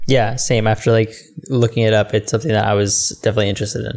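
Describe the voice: What we hear is a plain read-aloud passage.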